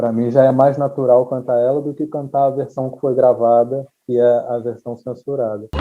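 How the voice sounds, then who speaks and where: Medium-pitched male voice in a flat monotone, hardly any pauses, music in the background. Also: moderate pace. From Rio de Janeiro, Brazil. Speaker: singer-songwriter. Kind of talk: interview answer.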